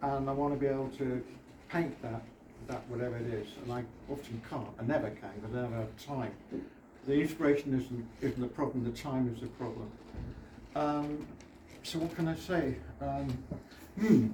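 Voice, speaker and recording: Speaking in a British accent, a man moves at a moderate pace with ordinary pitch variation and long, frequent pauses. Audible room echo is in the recording. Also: medium pitch for a man. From Britain. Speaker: artist. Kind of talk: exhibition opening speech. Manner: halting.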